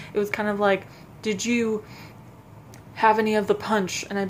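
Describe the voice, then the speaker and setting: The voice comes at a moderate pace over noticeable background noise. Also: woman. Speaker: vlogger. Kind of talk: casual chat. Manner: halting, stuttering.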